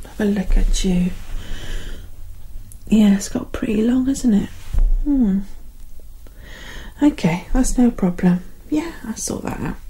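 Soft-spoken and gentle in tone, a woman talks with long, frequent pauses. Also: fairly slow pace. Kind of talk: soft role-play talk to the viewer. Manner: soft-spoken, gentle ASMR barber voice. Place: home room. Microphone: phone near.

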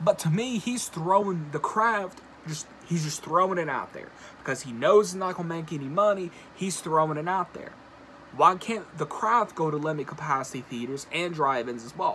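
Over light background noise, a man with a high pitch talks at a moderate pace, his intonation lively and his loudness swinging widely. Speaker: video blogger and horror movie commentator. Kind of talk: angry rant about a film studio, YouTube commentary. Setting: solo video, recorded for a channel. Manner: indignant and exasperated, riled up, pointed criticism; conversational, addresses viewers directly. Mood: annoyed, ranting. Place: home room. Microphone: phone near.

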